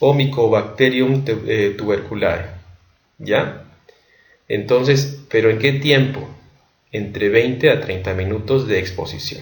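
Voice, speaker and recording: Somewhat breathy and at a medium pitch, a man talks at a very slow pace with long, frequent pauses, ordinary pitch variation, and audible room echo. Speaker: medical education youtuber. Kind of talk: lecture. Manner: halting.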